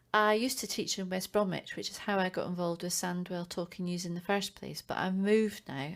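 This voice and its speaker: In a Scottish accent, a woman with a fairly low pitch talks at a moderate pace and keeps her intonation fairly even. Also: very clean recording, silent background. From Scotland. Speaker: primary school teacher, volunteer news reader. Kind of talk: recorded self-introduction.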